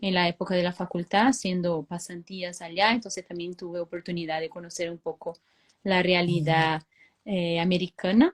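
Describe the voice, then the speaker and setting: A woman speaks at a fairly low pitch with fairly even intonation in a Brazilian accent. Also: moderate pace, dry, close sound with no echo. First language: Portuguese (speaking Spanish). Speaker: veterinarian and dairy consultant. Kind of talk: webinar talk. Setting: online live stream. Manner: hesitant with frequent fillers.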